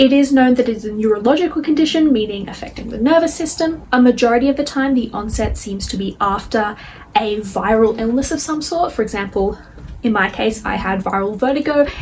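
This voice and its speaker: A woman at a fairly quick pace, lively intonation, noticeable background noise behind her. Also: fairly high pitch for a woman. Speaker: chronic illness video creator. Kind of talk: educational video monologue. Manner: fast; slurring words.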